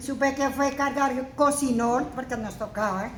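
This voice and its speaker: Against noticeable background noise and audible room echo, a woman talks in a high pitch with fairly even intonation. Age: 60s. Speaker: senior program participant. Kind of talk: personal testimony.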